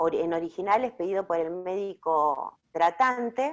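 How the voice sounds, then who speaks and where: Lively intonation marks this speech. It unfolds at a fairly slow pace. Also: woman. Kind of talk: online talk presentation.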